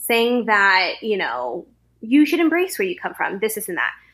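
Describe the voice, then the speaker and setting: Bright and sharp in tone, a woman with an American accent speaks at a fairly high pitch with lively intonation. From US, Central California. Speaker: actor, podcast guest. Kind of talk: casual chat about a book.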